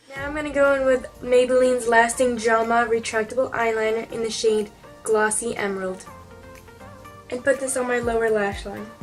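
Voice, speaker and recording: With music in the background, a woman speaks in a monotone at a moderate pace and a fairly high pitch. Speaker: beauty YouTuber. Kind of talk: makeup tutorial narration.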